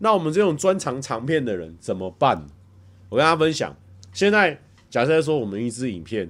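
A man speaks with an animated tone and very wide pitch swings. He has a Taiwanese accent. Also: very clean recording, silent background. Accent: Taiwanese Mandarin. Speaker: livestreamer. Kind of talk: casual livestream chat reading viewer comments. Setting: home livestream.

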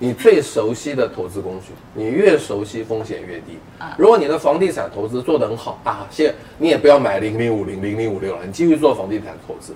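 A man's medium-pitched voice with lively intonation and big swings in loudness, over noticeable background noise. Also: fairly quick pace. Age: 50s. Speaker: personal finance author. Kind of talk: casual chat.

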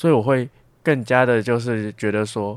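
A man with a plain, everyday voice speaks at a moderate pace and a medium pitch. The recording is very clean and the background silent. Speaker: university student. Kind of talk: casual interview.

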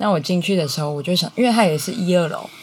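Through noticeable background noise, a woman talks at a fairly low pitch with ordinary pitch variation. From Taiwan, Changhua (Huatan). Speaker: small business owner, beekeeping family. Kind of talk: interview.

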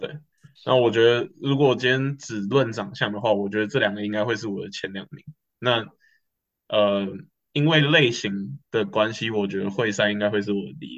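A man speaks in an ordinary speaking voice, pitched at a medium level. His pace is moderate and his pitch variation ordinary. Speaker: student podcast co-host. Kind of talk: casual chat.

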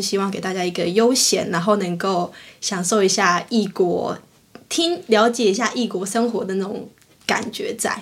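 A woman uses a normal speaking voice with fairly even intonation. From Taiwan. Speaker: podcast co-host. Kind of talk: casual chat.

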